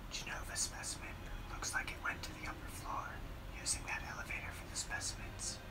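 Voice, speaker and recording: A soft-spoken whisper moves at a fairly quick pace. Loud background noise is present. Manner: soft ASMR whisper reading game text.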